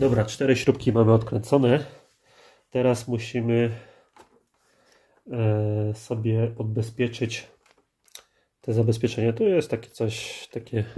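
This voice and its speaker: A somewhat breathy man of medium pitch speaks at a very slow pace. His intonation is monotone and flat, with long, frequent pauses. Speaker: car DIY youtuber. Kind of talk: tutorial. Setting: home workspace. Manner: casual, with filler sounds.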